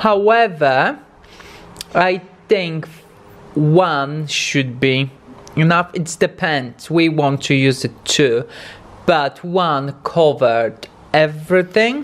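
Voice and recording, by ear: A man's fairly high voice at a slow pace, with lively intonation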